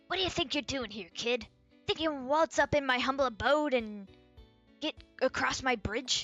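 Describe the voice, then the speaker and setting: In a put-on character voice, a woman sounds gruff and menacing at a high pitch and a moderate pace, with faint music in the background. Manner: gruff, menacing.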